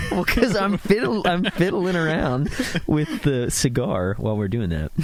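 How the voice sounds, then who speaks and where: A man with fairly high pitch speaks at a moderate pace, his pitch swinging very widely against noticeable background noise. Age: 20s. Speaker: musician and podcast host. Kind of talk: casual chat. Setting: outdoors by a fire. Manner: animated.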